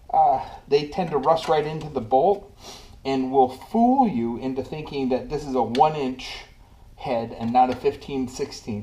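The speech comes at a fairly slow pace. Light background noise can be heard. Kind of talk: tutorial. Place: garage. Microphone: camera far.

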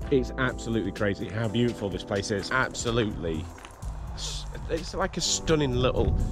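A man speaks in a dry, echo-free sound while clear music plays in the background. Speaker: family vlogger. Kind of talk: casual vlog chat. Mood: cheerful, admiring. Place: garden. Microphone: phone near.

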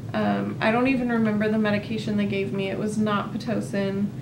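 Noticeable background noise behind a woman's voice at a moderate pace. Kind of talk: casual vlog chat. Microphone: camera far.

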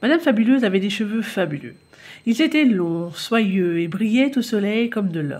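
The reading is done in an unforced reading voice, and its intonation is lively.

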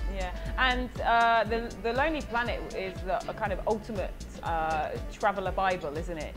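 The speech moves at a moderate pace. Music plays clearly in the background. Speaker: podcast interviewer. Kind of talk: interview questions. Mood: friendly, curious. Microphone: video call.

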